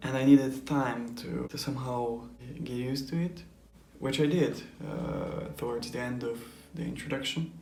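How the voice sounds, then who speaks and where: A man is heard with audible room echo. Noticeable background noise runs underneath. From Europe. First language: not English. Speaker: anime reaction youtuber. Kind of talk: casual vlog explanation. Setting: home recording, neighbors nearby. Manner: hesitant, many fillers.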